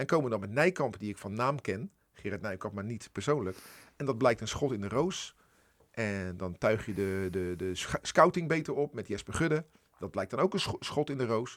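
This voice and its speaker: A man speaks with a plain, everyday voice at a medium pitch and moderate pace. His intonation is lively, and the recording is very clean with a silent background. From Netherlands, Rotterdam. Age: 50s. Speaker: editor-in-chief of a regional broadcaster. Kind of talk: radio interview.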